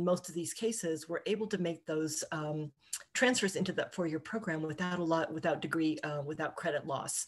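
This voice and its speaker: A woman's fairly low pitch with ordinary pitch variation, a fairly quick pace, and a plain, everyday voice. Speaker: college administrator. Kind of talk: formal meeting. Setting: video call. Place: home room. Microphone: webcam.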